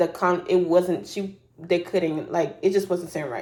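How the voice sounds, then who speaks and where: A woman talks in a fairly low pitch with monotone, flat intonation. Her pace is moderate, and there is noticeable background noise. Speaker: YouTuber reality TV commentator. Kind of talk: casual commentary.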